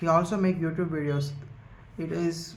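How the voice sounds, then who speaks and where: A man at a moderate pace with fairly even intonation, in audible room echo. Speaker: YouTuber, book summary creator. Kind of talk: casual monologue, book summary. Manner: halting, many fillers.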